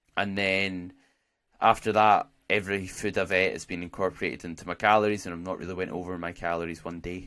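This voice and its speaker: A man with a Scottish accent and a very deep, low pitch, at a fairly quick pace in a monotone, flat intonation. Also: very clean recording, silent background. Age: 20s. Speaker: podcast host and natural bodybuilder. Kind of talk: casual solo podcast monologue.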